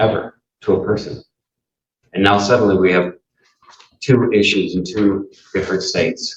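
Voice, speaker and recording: A man speaks in a somewhat breathy voice. His intonation is fairly even. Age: 60s. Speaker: defendant. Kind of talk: courtroom statement. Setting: courtroom. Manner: halting.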